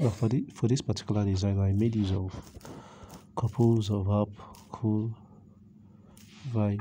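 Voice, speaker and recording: A man with a fairly low pitch and a dark, mellow, somewhat breathy tone speaks at a fairly slow pace. His loudness stays very even, broken by long, frequent pauses. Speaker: graphic design tutor. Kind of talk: screen-recorded software tutorial. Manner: casual, conversational.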